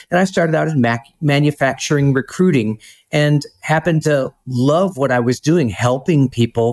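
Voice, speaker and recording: In a normal speaking voice, a man at a medium pitch talks at a moderate pace with ordinary pitch variation, recorded very cleanly against a silent background with a dry, close sound and no echo. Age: 50s. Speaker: trucking recruitment director. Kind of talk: interview.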